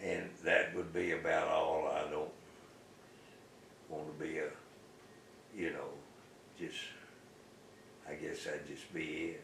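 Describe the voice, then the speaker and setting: A man speaks at a fairly slow pace with long, frequent pauses. Audible room echo and noticeable background noise fill the recording. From US South. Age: 80s+. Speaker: retired local businessman. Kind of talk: oral history interview. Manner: halting.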